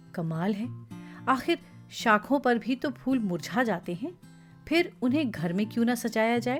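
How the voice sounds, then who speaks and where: Music plays in the background as a woman speaks at a fairly high pitch with very wide pitch swings. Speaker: voice actor. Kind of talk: audio story narration.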